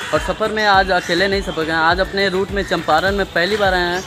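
Clear music plays behind a man with a high-pitched voice. He speaks at a moderate pace in a flat monotone. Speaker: travel vlogger. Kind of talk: casual vlog chat. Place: station. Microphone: phone near.

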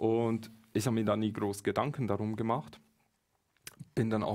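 His pace is moderate. The speaker is a man, heard over a quiet background. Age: 30s. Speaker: spiritual medium and author; interview guest. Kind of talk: live-streamed conversation. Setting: studio. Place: studio. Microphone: headset.

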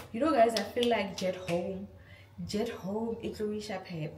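A woman speaks over noticeable background noise. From South Africa. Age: 20s. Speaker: lifestyle vlogger. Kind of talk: casual talk to camera, haul review. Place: kitchen.

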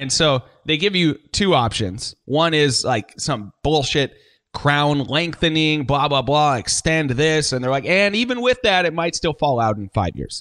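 A man speaks in a plain, everyday voice at a fairly high pitch and a fairly slow pace. His intonation is lively, and the sound is dry and close with no echo. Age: 30s. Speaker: radio host and musician. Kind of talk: casual chat. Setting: video call.

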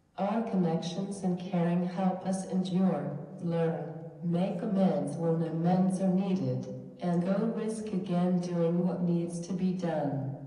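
Speaking very slowly in a fairly low pitch, a woman keeps a monotone, flat intonation and very even loudness, with audible room echo. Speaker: minister giving a lecture. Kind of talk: lecture. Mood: earnest, encouraging. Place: church.

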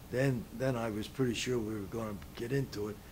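Over light background noise, a man with an American accent speaks at a moderate pace in a medium pitch, somewhat breathy, with ordinary pitch variation. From Philadelphia, US Northeast. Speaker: World War II veteran. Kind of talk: oral-history interview, recalling life story. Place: home room.

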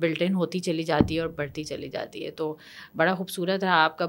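A woman speaks at a fairly low pitch. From Pakistan. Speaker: podcast host. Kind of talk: interview conversation. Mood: warm, polite. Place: studio. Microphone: studio mic.

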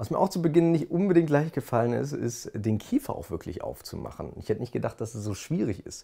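Speaking fast at a medium pitch, a man uses lively intonation with a dark, mellow tone and vocal fry.

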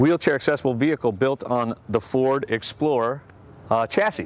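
In a dry sound with no echo, a man speaks at a moderate pace with ordinary pitch variation. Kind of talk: product demonstration. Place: street.

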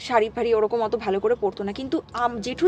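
A woman with a high-pitched voice is heard with light background noise and a dry sound with no echo. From West Bengal, Nadia district (between Chakdah and Ranaghat); West Bengal. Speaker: storyteller of a paranormal experience. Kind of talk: personal storytelling in casual chat. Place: home room. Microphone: camera far.

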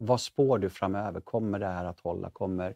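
A man's dark, mellow tone at a fairly low pitch, dry with no echo over a quiet background. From Sweden. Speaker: talk show host. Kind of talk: interview conversation; show outro. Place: studio. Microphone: lapel.

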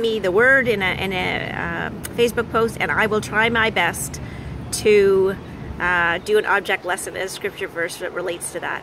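Against noticeable background noise, a woman speaks at a moderate pace with fairly even intonation and a dry sound with no echo. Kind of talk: casual vlog chat. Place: beach. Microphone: phone near.

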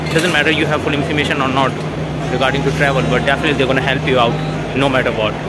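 A man at a very fast pace in a dry sound with no echo, over background music. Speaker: travel vlogger. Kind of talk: casual vlog chat. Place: station. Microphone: phone near.

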